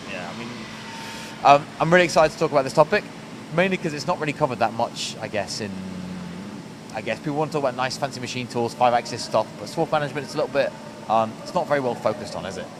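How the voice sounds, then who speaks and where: A man's fairly high pitch at a very fast pace, with lively intonation, big swings in loudness and long, frequent pauses over noticeable background noise. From northern England, Rotherham, Yorkshire. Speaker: podcast host. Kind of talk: interview. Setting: factory floor.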